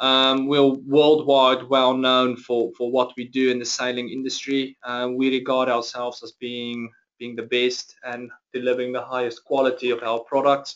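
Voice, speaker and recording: A man with a South African accent, monotone and flat in intonation, medium in pitch, at a moderate pace. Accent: Afrikaans-accented English. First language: Afrikaans. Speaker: chief financial officer. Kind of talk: interview webinar. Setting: webinar.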